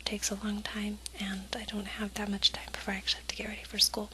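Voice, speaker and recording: A whispering woman over noticeable background noise. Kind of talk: ASMR cooking tutorial. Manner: whispered.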